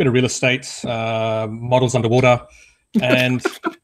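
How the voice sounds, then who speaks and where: A man with an Australian accent speaks at a medium pitch in a flat, monotone delivery. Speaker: freelance photographer. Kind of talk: casual chat.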